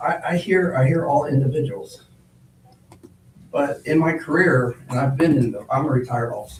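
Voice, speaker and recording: Noticeable background noise sits under a voice whose pitch moves in an ordinary way. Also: man. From Ohio. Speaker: public commenter at a zoning hearing. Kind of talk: public comment testimony. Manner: loud; animated.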